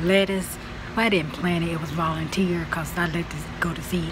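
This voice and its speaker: Monotone, flat intonation against noticeable background noise. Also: woman. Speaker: home gardening vlogger. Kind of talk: casual vlog tutorial. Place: garden. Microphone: phone near.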